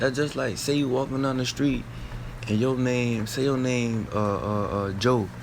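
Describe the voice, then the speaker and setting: Over noticeable background noise and audible room echo, a man talks at a fairly slow pace in a medium pitch with ordinary pitch variation. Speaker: street preacher. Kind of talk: bible teaching. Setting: at home late at night. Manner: casual, repetitive.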